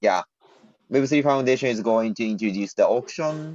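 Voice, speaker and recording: Lively intonation marks this man's medium-pitched voice with a Japanese accent. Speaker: blockchain project team member. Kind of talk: community video call Q&A. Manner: halting.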